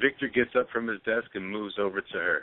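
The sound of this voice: At a fairly quick pace, a man speaks with a fairly low pitch and ordinary pitch variation.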